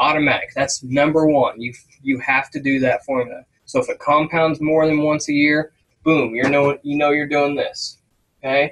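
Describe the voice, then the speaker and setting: A man's fairly high-pitched voice, a normal speaking voice, with fairly even intonation at a moderate pace. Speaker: business instructor. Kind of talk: tutorial. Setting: screen-share recording.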